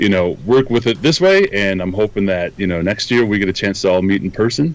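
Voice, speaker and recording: Over noticeable background noise, a man with a very deep, low voice and a Minnesotan accent speaks with ordinary pitch variation. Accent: Minnesota. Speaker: photography instructor and software engineer. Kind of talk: interview. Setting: video call.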